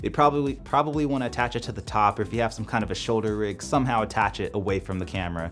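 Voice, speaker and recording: A man at a very fast pace with lively intonation, over music in the background. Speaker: YouTube filmmaker and gear reviewer. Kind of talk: product review. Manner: unscripted single take, casual.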